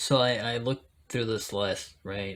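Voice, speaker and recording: At a fairly slow pace, a man speaks with a Spanish accent and ordinary pitch variation. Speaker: Bible video creator, interpreter. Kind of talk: casual talk to camera. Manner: hesitant, many fillers.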